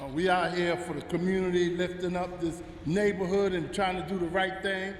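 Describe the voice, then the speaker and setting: A man's high-pitched, flat, monotone voice at a fairly quick pace, with noticeable background noise and audible room echo. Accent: American. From Harlem and the Bronx, New York. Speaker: pastor. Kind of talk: casual interview.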